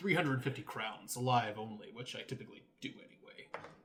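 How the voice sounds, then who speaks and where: At a moderate speed, the speaker puts on a character voice. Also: man, medium pitch for a man. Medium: actual play. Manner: friendly, prying.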